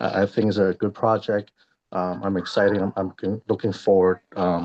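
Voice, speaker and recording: A man with an American accent, fairly low in pitch, speaking in a monotone, flat way at a moderate pace. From Hong Kong, then Chicago from age ten. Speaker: police sergeant, project partner. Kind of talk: brief self-introduction at meeting. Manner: halting, with fillers.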